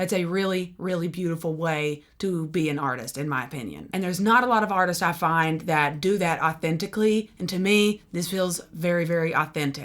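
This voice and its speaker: A woman's fairly low voice with a Southern US accent, fairly quick pace, ordinary pitch variation and hardly any pauses. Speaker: music reaction youtuber, singer-songwriter. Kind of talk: album reaction. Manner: animated.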